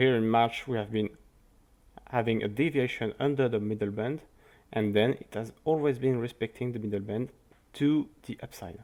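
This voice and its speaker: A man with a French accent at a moderate pace, fairly even in intonation, with long, frequent pauses. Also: medium pitch for a man. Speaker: crypto market analyst. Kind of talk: market analysis commentary. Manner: halting.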